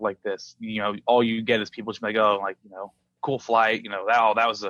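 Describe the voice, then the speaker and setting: A man speaks in a bright, sharp tone at a moderate pace. The recording is very clean, with a silent background and a dry, close sound with no echo. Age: 20s. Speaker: professional drone racing pilot and video creator. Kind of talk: podcast interview. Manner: halting, many fillers.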